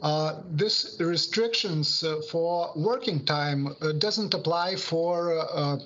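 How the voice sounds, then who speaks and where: Very slowly and with a Lithuanian accent, a man speaks at a high pitch with ordinary pitch variation and very even loudness, amid noticeable background noise and audible room echo. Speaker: labour inspectorate official. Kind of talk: webinar Q&A answers. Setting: online webinar. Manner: halting, many hesitations.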